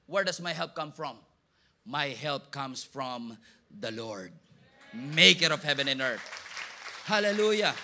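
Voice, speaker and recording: Delivery is fairly slow. The tone comes across bright and sharp. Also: man. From Philippines. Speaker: pastor. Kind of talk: sermon. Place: hall. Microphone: handheld.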